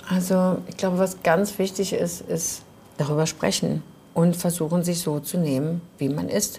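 Her voice has a dark, mellow tone with vocal fry, a fairly low pitch and fairly even intonation as this woman speaks. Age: 40s. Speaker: fashion trade fair organizer. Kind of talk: casual chat. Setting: bar.

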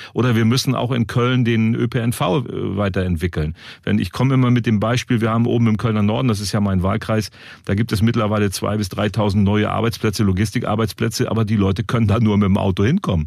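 A man speaks very fast in a fairly low pitch, his loudness very even. The recording is very clean with a silent background. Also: fairly even intonation. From northern Germany. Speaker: podcast host, local politician. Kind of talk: interview.

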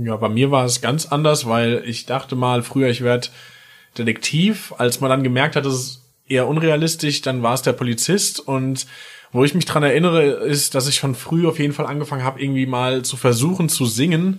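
This man has an unremarkable speaking voice at a medium pitch with ordinary pitch variation. He speaks at a fairly quick pace. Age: 30s. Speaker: musician. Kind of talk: casual interview. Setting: recording studio.

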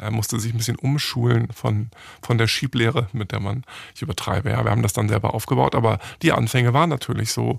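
At a fairly quick pace, a man speaks in a medium pitch with vocal fry and ordinary pitch variation. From Germany, Hamburg. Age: 40s. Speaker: entrepreneur. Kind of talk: interview.

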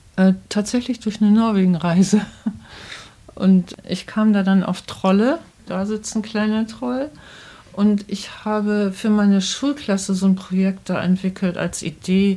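A woman speaks at a fairly slow pace and a medium pitch, with ordinary pitch variation. There is noticeable background noise. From northern Germany, Bremen. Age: 60s. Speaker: children's book author. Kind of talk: interview. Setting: author's study at home.

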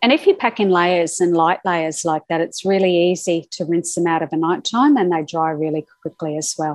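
Speaking in an Australian accent at a moderate pace, a woman leaves hardly any pauses. Her pitch is fairly low and varies in an ordinary way. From Australia (Brisbane). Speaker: travel writer. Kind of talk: interview. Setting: remote call.

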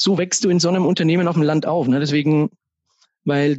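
With a plain, everyday voice, a man talks at a fairly quick pace with fairly high pitch and fairly even intonation. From Upper Franconia, Germany (Kronach area). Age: 40s. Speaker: financial advisor and business owner. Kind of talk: podcast interview.

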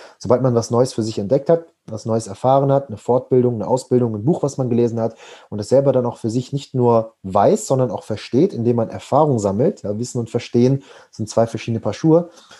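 Very fast speech from a man with a dark, mellow tone. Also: medium pitch for a man, ordinary pitch variation. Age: 20s. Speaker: personal development coach. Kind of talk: podcast interview.

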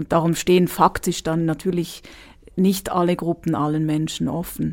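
Speaking at a fairly slow pace, a woman uses a fairly low voice. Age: 30s. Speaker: dance therapist. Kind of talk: interview.

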